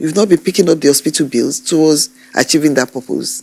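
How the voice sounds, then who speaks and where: Speaking at a moderate pace, a woman uses a very deep, low pitch with vocal fry and a dark, mellow tone. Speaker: TV court judge. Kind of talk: courtroom questioning. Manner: firm, stern.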